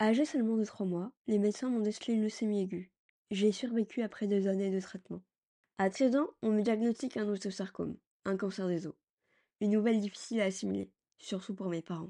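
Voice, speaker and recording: At a fairly quick pace, with long, frequent pauses, the speaker has a dark, mellow tone and fairly even intonation over a quiet background. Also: woman, medium pitch for a woman. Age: 30s. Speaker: podcast host, cancer survivor. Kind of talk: scripted narration.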